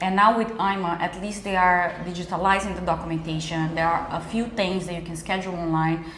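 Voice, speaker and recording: A woman with a fairly low pitch talks at a fairly quick pace with hardly any pauses and flat, monotone intonation. Room echo and noticeable background noise are both audible. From Brazil. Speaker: immigration lawyer. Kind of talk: interview. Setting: cafe.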